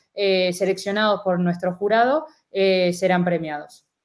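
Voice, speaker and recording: A moderate pace and fairly even intonation, in an Argentine accent. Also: woman. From Argentina. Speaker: university student, event organizer. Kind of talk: casual interview on a live stream.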